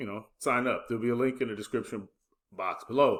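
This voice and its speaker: A man's medium-pitched voice at a moderate pace with ordinary pitch variation, in a very clean recording with a silent background. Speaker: affiliate marketing youtuber. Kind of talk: casual tutorial pitch. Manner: hesitant, filler words.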